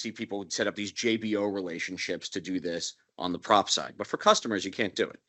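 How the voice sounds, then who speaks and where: Very fast speech comes from a man with a fairly low pitch and fairly even intonation. His loudness swings widely. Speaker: broker-dealer executive, roundtable panelist. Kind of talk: panel discussion. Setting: roundtable with live audience. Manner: formal.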